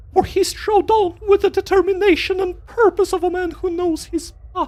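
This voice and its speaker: Someone performs a squeaky, put-on character voice at an extremely high pitch and a moderate pace. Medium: game stream.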